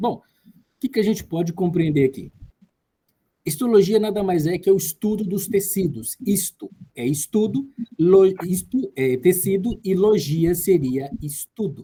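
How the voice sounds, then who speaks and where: A man's high-pitched, dark, mellow voice at a fairly slow pace, with lively intonation and big swings in loudness. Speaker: tutor. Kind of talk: lecture.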